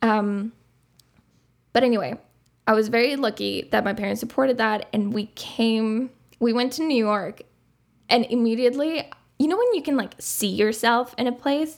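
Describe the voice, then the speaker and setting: Speech with a Spanish accent at a moderate pace, broken by long, frequent pauses. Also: woman, fairly high pitch for a woman, ordinary pitch variation. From Uruguay. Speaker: podcast co-host, film student. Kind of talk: casual chat.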